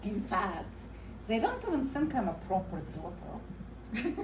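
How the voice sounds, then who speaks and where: Speaking very slowly with a non-native accent and lively intonation, a woman is heard with audible room echo and noticeable background noise. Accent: foreign. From Eastern Europe. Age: 30s. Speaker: comedian. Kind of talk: stand-up.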